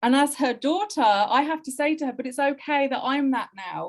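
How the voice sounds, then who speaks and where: A woman with a West Midlands accent, high-pitched and lively in intonation. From English Midlands, Wolverhampton. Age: 40s. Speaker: Romani heritage crafts researcher. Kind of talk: interview conversation. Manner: emotional, impassioned.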